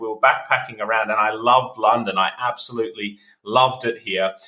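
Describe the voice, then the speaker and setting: A man with an Australian accent speaks against noticeable background noise. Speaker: entrepreneur, agency CEO. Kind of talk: podcast interview.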